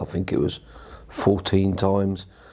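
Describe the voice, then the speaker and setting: This man's voice sits at a very deep, low pitch. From southern England, Watford. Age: 60s. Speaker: patient, army veteran. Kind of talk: testimony. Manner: halting.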